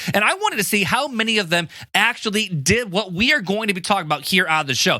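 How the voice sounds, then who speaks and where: Raising and projecting his voice, a man with a high pitch speaks in an animated tone at a fairly quick pace. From US Midwest (Hammond, Indiana). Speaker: podcast host. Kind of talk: casual podcast talk. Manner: fast.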